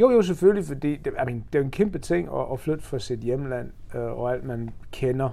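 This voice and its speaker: A man with an English accent, medium pitch and lively intonation. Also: moderate pace. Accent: English accent in Danish. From England, Birmingham and Oxford. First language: English (speaking Danish). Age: 40s. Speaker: amateur marathon runner and charity fundraiser. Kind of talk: interview. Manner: halting.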